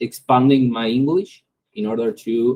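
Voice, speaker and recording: A man speaks with a non-native accent at a very slow pace. His tone is dark and mellow, and his pitch varies in an ordinary way. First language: Spanish. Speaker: AI start-up founder. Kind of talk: tutorial. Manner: halting.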